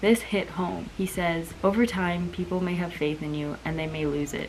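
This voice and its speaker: A soft-spoken woman talks at a moderate pace with a fairly low pitch and fairly even intonation. Noticeable background noise is present. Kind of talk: casual talk to camera.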